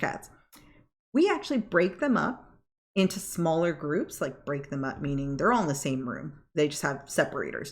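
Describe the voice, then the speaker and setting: A loud woman speaks at a fairly quick pace with very wide pitch swings, on a very clean recording with a silent background. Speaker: vlogger and cat foster volunteer. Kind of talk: casual monologue.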